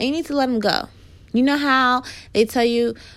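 On a very clean recording with a silent background, a woman with a New York accent speaks at a moderate pace. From Queens, New York. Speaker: podcast host, business and marketing advisor. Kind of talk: solo podcast talk about business and marketing. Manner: casual, conversational.

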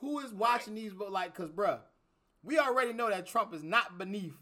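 A man speaks at a moderate pace with a high pitch and lively intonation. His raised, projected voice has a bright, sharp tone. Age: 30s. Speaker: podcast host. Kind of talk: casual chat. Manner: animated.

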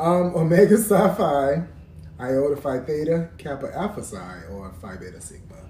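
Background noise is noticeable. A man talks with an American accent. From Columbia, South Carolina. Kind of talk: casual chat with trivia quiz.

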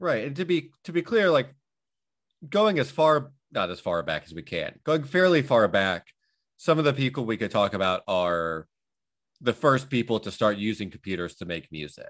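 Against a quiet background, a man at a medium pitch and moderate pace makes very wide pitch swings and big swings in loudness. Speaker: podcast host. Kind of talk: casual banter podcast chat.

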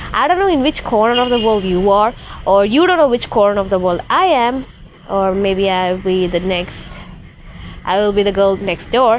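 A woman's medium-pitched voice at a moderate pace, with ordinary pitch variation, very even loudness and noticeable background noise. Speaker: solo podcaster. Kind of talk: casual solo vlog-style monologue. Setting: rooftop, outdoors. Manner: rambling, casual, halting.

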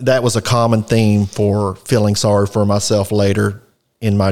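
This man speaks with a Texan accent at a fairly low pitch. His pace is fairly slow. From Texas, Fort Worth area. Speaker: recovering alcoholic sharing his story. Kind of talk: personal testimony in interview. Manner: hesitant, frequent filler words.

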